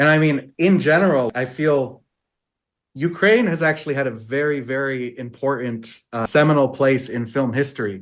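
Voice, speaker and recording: In a normal speaking voice, a man talks at a moderate pace with a fairly high pitch. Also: ordinary pitch variation. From United States. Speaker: English language tutor for actors. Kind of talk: interview answer.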